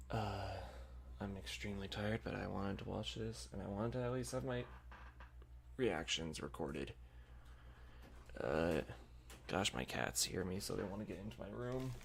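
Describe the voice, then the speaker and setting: A soft-spoken man talks at a very deep, low pitch with vocal fry. His pitch swings very widely, and he leaves long, frequent pauses. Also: moderate pace. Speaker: streamer reacting to a game showcase. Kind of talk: live stream reaction, casual. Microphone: audio setup still being figured out, may sound bad.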